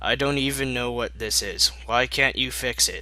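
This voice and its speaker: A male speaker puts on a character voice and keeps a moderate pace. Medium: read story. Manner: earnest, bookish.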